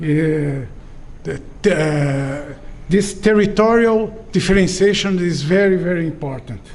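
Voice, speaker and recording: Long, frequent pauses from a high-pitched man, with audible room echo. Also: ordinary pitch variation. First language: not English. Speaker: professor. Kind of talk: lecture. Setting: auditorium with audience. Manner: halting, with many fillers.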